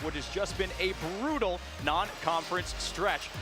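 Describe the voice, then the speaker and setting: Lively intonation with music in the background. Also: man. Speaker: sports broadcaster. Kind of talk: broadcast open.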